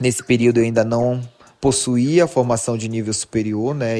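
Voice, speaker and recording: This is a man with an ordinary speaking voice at a medium pitch. He keeps a moderate pace. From Brazil, Pará, Marajó (Muaná). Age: 20s. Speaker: teacher and history researcher. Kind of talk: podcast interview.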